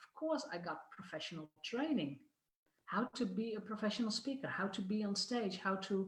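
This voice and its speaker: A woman with a Dutch accent speaks at a moderate pace at medium pitch, somewhat breathy, with lively intonation and big swings in loudness. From Netherlands. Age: 50s. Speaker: business coach. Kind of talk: video talk to online audience.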